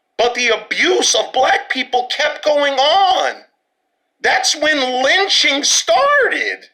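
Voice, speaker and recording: A man's raised, projected voice with a New York accent, extremely high in pitch, with lively intonation. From Brooklyn, New York. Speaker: podcast host. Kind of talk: social commentary monologue. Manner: animated.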